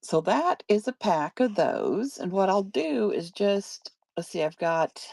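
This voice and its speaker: A woman's medium-pitched voice at a very slow pace, lively in intonation, with a dry, close sound and no echo. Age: 60s. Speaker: online paper craft seller. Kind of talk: live selling stream. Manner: casual, chatty.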